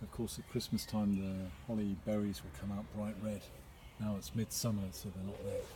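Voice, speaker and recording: A man's somewhat breathy, dark and mellow voice with an English accent, fairly low in pitch, at a moderate pace with fairly even intonation and audible room echo. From England. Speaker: local resident, video blogger. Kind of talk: casual vlog narration. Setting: outdoors in churchyard. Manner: quiet.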